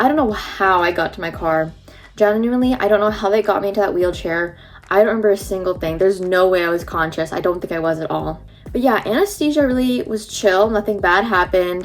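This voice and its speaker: Music plays behind a woman with a medium-pitched voice. She speaks very fast in an animated tone. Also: ordinary pitch variation. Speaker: beauty and lifestyle vlogger. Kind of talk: casual vlog storytelling. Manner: chatty, animated.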